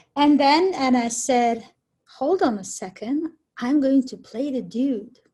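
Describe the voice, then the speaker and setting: This woman speaks with a non-native accent at a fairly slow pace. Her pitch is high and her tone dark and mellow. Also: ordinary pitch variation. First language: not English. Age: 40s. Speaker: community theater actor. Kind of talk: casual chat.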